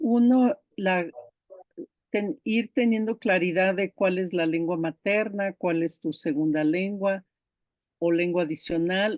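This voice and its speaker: In an Icelandic accent, a woman of medium pitch talks very slowly with ordinary pitch variation. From Brazil. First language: Icelandic (speaking Spanish). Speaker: diploma course instructor. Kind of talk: online class lecture.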